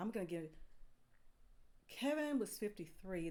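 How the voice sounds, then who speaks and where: Moderate pace from a woman in a plain, everyday voice. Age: 50s. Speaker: video reaction channel host. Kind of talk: reaction video commentary. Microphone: soft audio, poor stream.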